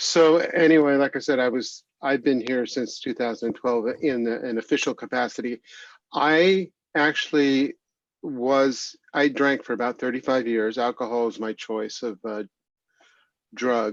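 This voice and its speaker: Against a quiet background, a man with a medium pitch speaks in a normal speaking voice, the sound dry and close with no echo. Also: ordinary pitch variation, fairly slow pace. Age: 60s. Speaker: executive director of a recovery organization. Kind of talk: interview testimony. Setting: video call.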